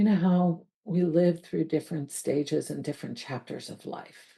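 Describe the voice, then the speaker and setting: The voice is somewhat breathy with a dark, mellow tone. It moves at a moderate pace with ordinary pitch variation. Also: woman. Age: 60s. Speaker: life coach. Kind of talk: reflective monologue.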